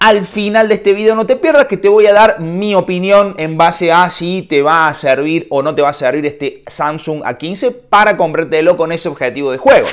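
Lively intonation marks this man's speech, delivered at a moderate pace with hardly any pauses. The background is quiet. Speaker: tech reviewer. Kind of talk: casual vlog chat. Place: home room. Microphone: lapel.

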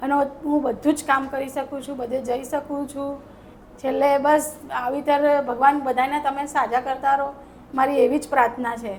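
Her high-pitched voice stays monotone and flat throughout. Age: 40s. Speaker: patient. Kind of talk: testimony.

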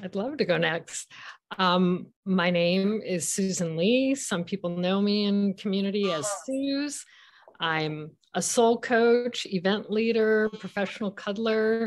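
Her pitch is medium as the woman talks at a fairly slow pace. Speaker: soul coach and professional cuddler. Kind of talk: casual panel discussion. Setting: remote while traveling. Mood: warm, friendly. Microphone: video call.

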